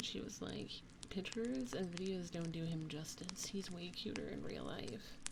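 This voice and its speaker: Noticeable background noise sits behind a woman with a fairly low pitch, who talks at a moderate pace with ordinary pitch variation. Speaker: ASMR streamer. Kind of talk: casual live stream chatting with viewers.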